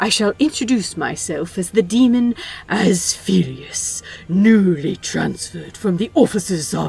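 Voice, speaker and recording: A woman uses a put-on character voice at a medium pitch and a moderate pace. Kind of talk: formal, archaic. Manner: ridiculous, overly formal.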